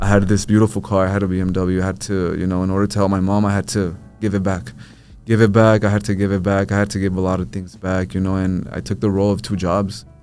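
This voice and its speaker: A man with an American accent talks at a very fast pace in a fairly low pitch, his intonation fairly even, with music playing in the background. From New Mexico, US (Albuquerque). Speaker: social media content creator. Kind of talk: podcast interview. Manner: casual, filler-heavy.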